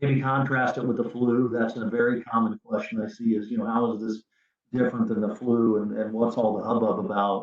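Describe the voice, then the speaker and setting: A man talks at a fairly quick pace in a medium pitch. His intonation is monotone and flat. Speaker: physician, hospital chief medical officer. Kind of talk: webinar presentation. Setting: online webinar. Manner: fast; many filler words and repetitions.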